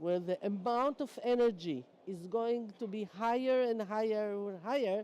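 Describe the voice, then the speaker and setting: A woman with a non-native accent speaks at a fairly slow pace, her fairly high pitch carrying a dark, mellow tone and ordinary pitch variation. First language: not English. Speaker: energy sector panelist. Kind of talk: panel discussion.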